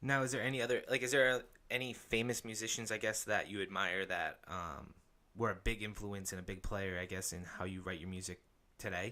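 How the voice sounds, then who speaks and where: A man with a plain, everyday voice, fairly low in pitch, with ordinary pitch variation at a fairly quick pace. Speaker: podcast host. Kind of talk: interview question.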